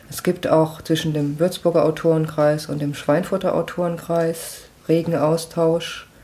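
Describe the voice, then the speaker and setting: Her voice is fairly low and monotone, with flat intonation and a fairly slow pace. The woman's loudness swings a lot, over noticeable background noise. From Lower Franconia, Germany (Schweinfurt). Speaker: author and software developer. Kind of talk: casual interview. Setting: home kitchen.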